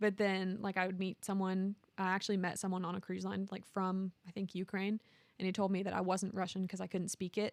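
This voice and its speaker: A woman's medium-pitched voice with a slight Southern US accent, monotone, flat intonation, a fairly quick pace and a dry, close sound with no echo. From Alabama, small town. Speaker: marketing coordinator. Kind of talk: interview conversation.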